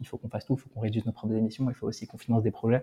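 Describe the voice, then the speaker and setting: Very fast and somewhat breathy, a man's voice comes through at a medium pitch with a dark, mellow tone and monotone, flat intonation. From France/Germany. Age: 30s. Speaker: startup founder and CEO. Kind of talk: interview.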